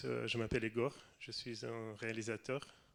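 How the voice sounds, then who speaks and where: The voice carries a Russian accent. It moves at a very slow pace with monotone, flat intonation. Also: man. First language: Russian (speaking French). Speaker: film director. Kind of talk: reading prepared text. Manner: halting.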